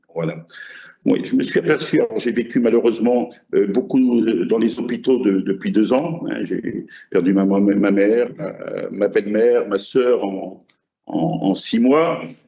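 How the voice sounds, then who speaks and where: A man's medium-pitched voice at a fairly slow pace with lively intonation. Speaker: basketball coach. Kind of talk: speech at ceremony. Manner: halting with many hesitations.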